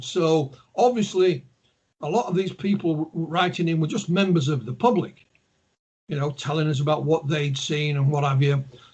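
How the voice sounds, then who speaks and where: Here a man speaks with a Yorkshire accent. His pitch is fairly high. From Yorkshire, northern England. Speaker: ufologist and author. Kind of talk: interview. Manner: hesitant, many fillers and repeats.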